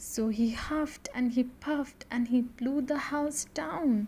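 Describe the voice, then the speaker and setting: Soft-spoken, the speaker goes at a very slow pace with ordinary pitch variation. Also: woman. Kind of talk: bedtime story narration. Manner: soothing, soft-spoken.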